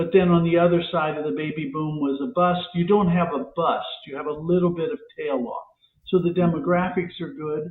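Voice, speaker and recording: A man speaks with a Midwestern American accent. His pitch is high. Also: ordinary pitch variation, moderate pace. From US Midwest, Ohio. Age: 70s. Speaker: economist and real estate professor. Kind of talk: podcast interview.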